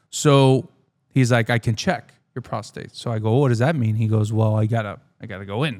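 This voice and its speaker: A man at medium pitch, fairly quick in pace, with ordinary pitch variation. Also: very clean recording, silent background. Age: 30s. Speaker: sports podcast host. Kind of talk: casual chat. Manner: halting.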